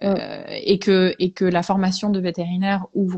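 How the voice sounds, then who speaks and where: A somewhat breathy voice at a fairly slow pace. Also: woman. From Belgium, English parents. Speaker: veterinarian. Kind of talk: interview, personal testimony. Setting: Instagram live video stream.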